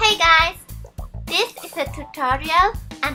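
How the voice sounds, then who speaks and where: With a strong Swiss German accent, a woman projects a raised voice at a fairly slow pace and with lively intonation. Music plays in the background. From Switzerland. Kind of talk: beauty tutorial instructions to camera.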